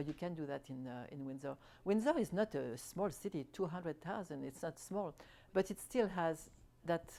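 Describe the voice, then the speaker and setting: A woman speaks with a French accent in a very deep, low pitch. Her tone is dark and mellow, and her pace is moderate. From France. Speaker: French expatriate resident. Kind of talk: interview. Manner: halting, many repetitions and fillers.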